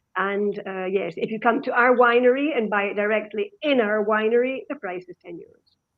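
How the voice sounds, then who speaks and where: The intonation stays fairly even. It comes in a Scottish accent. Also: woman. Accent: Scottish, easy to understand. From Scotland. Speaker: winemaker. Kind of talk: online wine tasting seminar.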